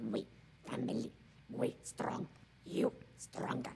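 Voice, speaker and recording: A man's growling, put-on character voice over clear background noise. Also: fairly slow pace. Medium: game stream. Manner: terse, broken fragments of speech.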